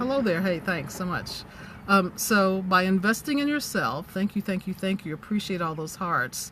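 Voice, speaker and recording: An unremarkable speaking voice with lively intonation moves at a moderate pace. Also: woman, medium pitch for a woman. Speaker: business coach and livestreamer. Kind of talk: live-stream talk to viewers. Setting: in a parked car.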